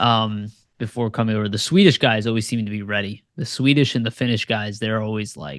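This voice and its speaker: A man with an unremarkable speaking voice and an American accent, fairly low in pitch, with ordinary pitch variation and a fairly quick pace over a quiet background. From United States. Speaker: sports podcast host. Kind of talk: casual chat. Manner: filler-heavy conversational.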